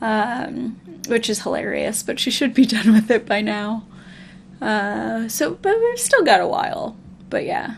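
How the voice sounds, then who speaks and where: Noticeable background noise runs under this recording. A woman with a Midwestern US accent talks at a fairly slow pace. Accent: General American, Midwestern. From US Midwest. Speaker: let's play streamer. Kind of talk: casual gameplay commentary.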